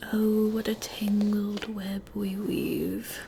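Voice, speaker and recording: A soft-spoken woman in a playful tone. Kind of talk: ASMR comedy roleplay to camera. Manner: soft-spoken, playful.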